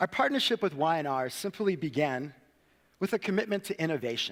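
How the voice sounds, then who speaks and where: A man with an American accent, high in pitch, fairly quick, with lively intonation. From Cape Town, South Africa and United States. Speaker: social innovation worker, conference speaker. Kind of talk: conference talk. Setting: stage with audience.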